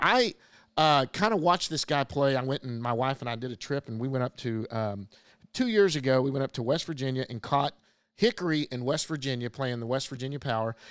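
In a very clean recording with a silent background and a dry, close sound with no echo, a man at medium pitch talks at a fairly quick pace with ordinary pitch variation. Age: 50s. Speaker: podcast host and baseball blogger. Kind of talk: casual chat.

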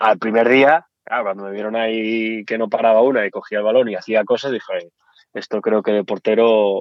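This man has a medium-pitched voice and a slight Asturian accent. His pace is moderate. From Asturias, Spain. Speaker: former footballer. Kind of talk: interview.

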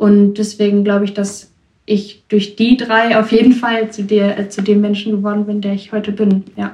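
Her voice is a dark, mellow, somewhat breathy medium pitch, and the woman talks at a moderate pace in a monotone, flat intonation. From Germany, Ruhr area (Bochum). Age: 20s. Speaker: young woman guest. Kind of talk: interview.

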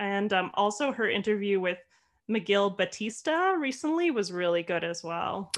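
A woman with a Canadian accent speaks at a moderate pace over a quiet background, her pitch medium. It is a plain, everyday voice with lively intonation. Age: 30s. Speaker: podcast co-host with chronic fatigue. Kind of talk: casual chat.

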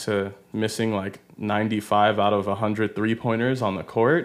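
In a very clean recording with a silent background, a man with an American accent speaks at a fairly low pitch in a monotone, flat intonation. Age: 20s. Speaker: podcast host. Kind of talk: casual chat. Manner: halting, many fillers.

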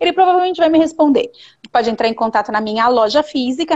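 A woman speaks with lively intonation. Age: 40s. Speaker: digital communication specialist. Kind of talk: live interview. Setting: online video livestream.

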